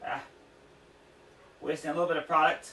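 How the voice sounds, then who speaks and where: A man speaks in a raised, projected voice at a fairly quick pace. Noticeable background noise runs underneath. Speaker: DIY video creator. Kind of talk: tutorial. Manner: fast and jittery.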